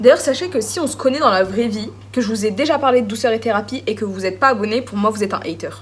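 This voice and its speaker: Over noticeable background noise, a woman with a fairly high pitch talks at a very fast pace with ordinary pitch variation. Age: 20s. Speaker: beauty vlogger. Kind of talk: casual chat. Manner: chatty, informal.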